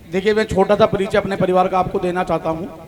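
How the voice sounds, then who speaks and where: A man speaks at a high pitch. Noticeable background noise runs beneath him. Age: 40s. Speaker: donor family representative. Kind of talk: public address at religious event.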